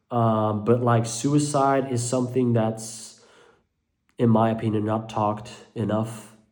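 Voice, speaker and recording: At a fairly slow pace, a man talks in a flat monotone. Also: medium pitch for a man. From Belgium (Dutch-speaking). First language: Dutch. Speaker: mental health vlogger. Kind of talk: personal vlog monologue. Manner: halting, many fillers.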